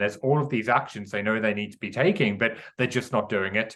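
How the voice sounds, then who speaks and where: A bright, sharp tone comes through in an English accent at a very fast pace. The intonation stays fairly even. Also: man, quiet background. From England. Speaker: author and mindset coach. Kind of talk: podcast interview.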